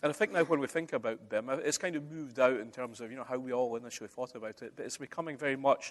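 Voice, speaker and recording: The speech comes at a very fast pace with hardly any pauses. Loudness swings widely while pitch varies in an ordinary way. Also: man, medium pitch for a man. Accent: Scottish. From Scotland. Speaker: conference speaker, construction digitisation expert. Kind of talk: conference presentation. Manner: conversational, uses many fillers.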